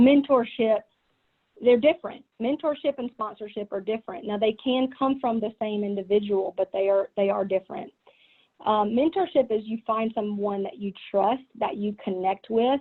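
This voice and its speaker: A woman with a strong Southern US accent speaks at a fairly high pitch. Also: ordinary pitch variation, moderate pace. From US South. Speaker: business executive. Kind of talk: keynote talk.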